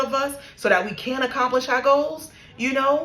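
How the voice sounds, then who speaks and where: A woman speaks at a moderate pace in a high, animated voice. Noticeable background noise runs under her. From New York. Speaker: spiritual content creator. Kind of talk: casual monologue, spiritual story time.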